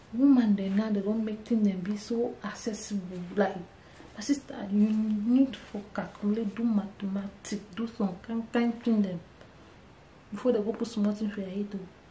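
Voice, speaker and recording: A woman's fairly high voice at a moderate pace, with long, frequent pauses and noticeable background noise. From Cameroon. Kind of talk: casual talk to camera.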